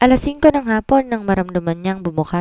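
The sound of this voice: Lively intonation in an unforced reading voice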